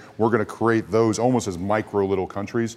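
Delivered in a Kentucky accent, the speech comes at a very fast pace with fairly even intonation. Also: man. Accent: American (Kentucky). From US, Louisville, Kentucky. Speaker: former rugby player, rugby executive. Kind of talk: casual chat.

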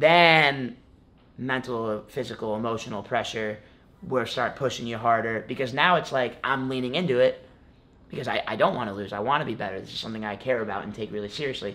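A man with an American accent and an ordinary speaking voice talks at a fairly quick pace, his medium pitch showing ordinary pitch variation. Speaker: college wrestling champion. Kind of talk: casual interview chat.

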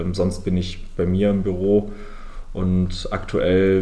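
The tone is dark and mellow, with monotone, flat intonation. Audible room echo surrounds the voice. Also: man. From southern Germany, Lake Constance. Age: 20s. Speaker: airline founder and CEO. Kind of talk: interview.

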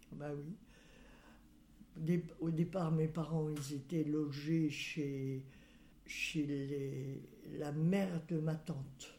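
Amid audible room echo, a woman with a very deep, low pitch and a dark, mellow tone speaks very slowly, somewhat breathy, her intonation fairly even. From western France, Loire-Atlantique. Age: 90s. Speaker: great-grandmother interviewee. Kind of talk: life-story interview. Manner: halting.

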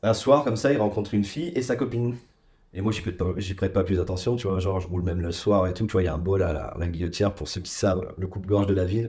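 A man speaks very fast with a dark, mellow tone. His voice is fairly low and somewhat breathy. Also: ordinary pitch variation. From Ardennes, north-eastern France. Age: 30s. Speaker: podcast guest. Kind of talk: casual chat.

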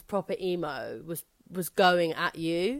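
A woman speaks with a London accent. Her pitch is fairly low. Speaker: stand-up comedian. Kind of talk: casual chat. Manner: loud.

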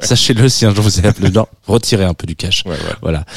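Recorded with a dry, close sound and no echo, a man speaks at a fairly low pitch against noticeable background noise. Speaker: radio host. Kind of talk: casual chat, radio interview. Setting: studio. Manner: relaxed, friendly, joking.

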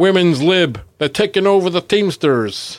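A man does a put-on character voice at a high pitch. His intonation is lively and his pace moderate.

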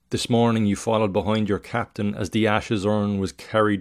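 In a very clean recording with a silent background, a man has an unremarkable speaking voice, fairly low in pitch, with fairly even intonation and a fairly quick pace. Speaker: podcast host and writer reading own work. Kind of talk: literary story reading, second-person narration of a tragedy. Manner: measured, solemn, expressive reading.

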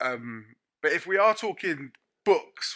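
In a very clean recording with a silent background, a man with a London accent speaks in a bright, sharp tone. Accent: London English (Multicultural London). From North London. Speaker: chef. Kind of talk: casual chat. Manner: animated.

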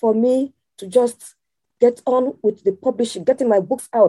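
A woman speaks at a fairly slow pace in a high voice with a dark, mellow tone, the sound dry and close with no echo. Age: 60s. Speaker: teacher and author. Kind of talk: casual interview chat.

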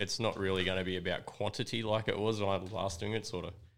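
Fairly low in pitch, a man with an Australian accent speaks with fairly even intonation. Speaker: record label owner and gig promoter. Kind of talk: casual chat.

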